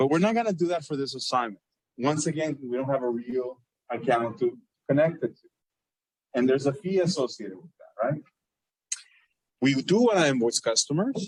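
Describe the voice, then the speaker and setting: A man's fairly high, somewhat breathy voice at a fairly quick pace, with lively intonation, big swings in loudness and long, frequent pauses. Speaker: accounting professor. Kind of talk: lecture. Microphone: muffled by face mask.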